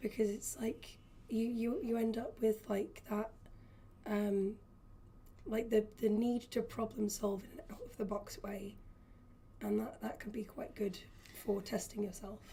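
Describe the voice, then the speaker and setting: Quiet and fairly high-pitched, a woman speaks with fairly even intonation. Her pauses are long and frequent. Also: fairly slow pace. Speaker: in-house designer. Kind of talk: live stream chat.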